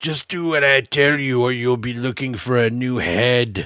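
Putting on a raspy character voice at medium pitch, a man speaks at a moderate pace. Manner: menacing, commanding.

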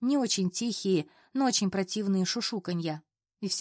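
The background stays quiet while the plain reading aloud moves with ordinary pitch variation.

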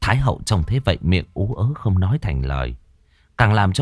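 What you hear is an unforced reading voice.

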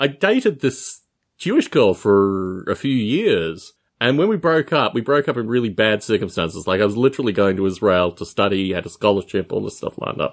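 Recorded very cleanly over a silent background, a man with an Australian accent speaks fairly quickly at a medium pitch with lively intonation. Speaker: podcast co-host. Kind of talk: casual chat.

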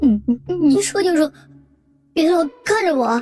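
A put-on character voice, high-pitched and fairly slow. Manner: crying.

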